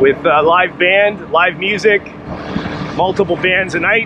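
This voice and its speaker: A very slow pace over noticeable background noise. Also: dry sound with no echo. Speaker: travel vlogger. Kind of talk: casual vlog commentary. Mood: relaxed, easygoing. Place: motorbike. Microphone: helmet.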